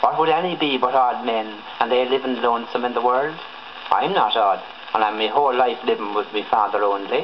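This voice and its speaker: Speaking fairly quickly with a southern Irish accent, the voice keeps a very even loudness and ordinary pitch variation against noticeable background noise. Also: man, medium pitch for a man. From Southern Ireland. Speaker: actor. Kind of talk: dramatic reading of play excerpts for a dialect record. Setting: old gramophone recording.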